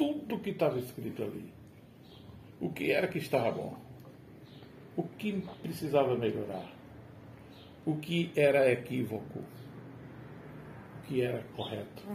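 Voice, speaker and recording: In a fairly high pitch with vocal fry, a man speaks at a fairly slow pace with very wide pitch swings and long, frequent pauses, and audible room echo. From Brazil, rural Rio Grande do Norte (Agreste Potiguar). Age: 60s. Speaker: retired teacher. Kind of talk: casual chat. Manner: formal.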